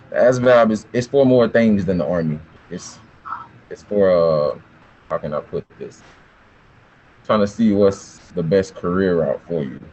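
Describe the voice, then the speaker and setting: At a fairly slow pace with long, frequent pauses, a man talks at a fairly low pitch with ordinary pitch variation and big swings in loudness over noticeable background noise. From US South, south Georgia small town. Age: 20s. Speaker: army recruiter. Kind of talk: informational talk to students. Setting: video call. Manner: casual.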